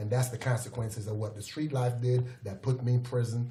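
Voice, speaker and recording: Over noticeable background noise, a man of medium pitch talks at a fairly quick pace with monotone, flat intonation. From Jamaica, Kingston. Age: 50s. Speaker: former prisoner, youth mentor. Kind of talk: podcast interview.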